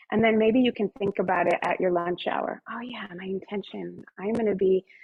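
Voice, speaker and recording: This woman has a plain, everyday voice at a medium pitch. She talks at a moderate pace with fairly even intonation. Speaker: wellness presenter. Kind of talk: guided meditation; presentation.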